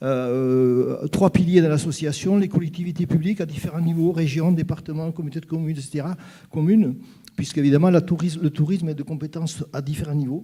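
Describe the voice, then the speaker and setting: In a strong Gascon accent, a man with a dark, mellow tone and fairly high pitch talks at a fairly quick pace with fairly even intonation. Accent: southwestern French (Gers), kept strong. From southwest France (Gers). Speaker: association president, panelist. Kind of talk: panel talk at a conference. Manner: hesitant, many fillers and repetitions.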